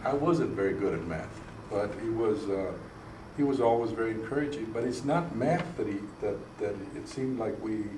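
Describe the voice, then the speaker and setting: A medium-pitched man with an American accent at a moderate pace, ordinary pitch variation, noticeable background noise and audible room echo. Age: 60s. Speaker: state legislator. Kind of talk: interview. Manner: halting.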